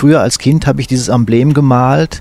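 At a very fast pace, a man with a medium pitch and fairly even intonation sounds somewhat breathy. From eastern Hesse, Fulda. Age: 60s. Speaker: sports journalist. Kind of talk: interview. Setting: at his home.

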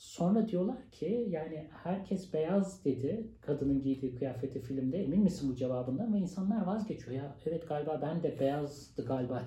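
Through noticeable background noise, a man with a fairly high pitch talks with lively intonation. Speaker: sociologist and university lecturer. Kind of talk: interview.

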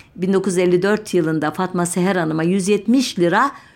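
A woman speaks at a very slow pace. Her pitch is fairly low with ordinary variation. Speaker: radio history program host. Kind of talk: radio talk on history. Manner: halting with many filler sounds.

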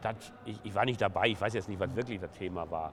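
The man speaks fairly quickly. His pitch shows ordinary variation. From Ruhr area, Essen. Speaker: trade union leader. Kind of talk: interview.

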